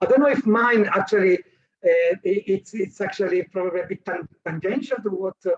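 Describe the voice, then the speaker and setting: Heard dry and close with no echo, a man with an Italian accent speaks high in pitch at a moderate pace. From Italy. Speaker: academic researcher. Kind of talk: conference talk. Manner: halting, many fillers. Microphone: remote connection, said to sound fine.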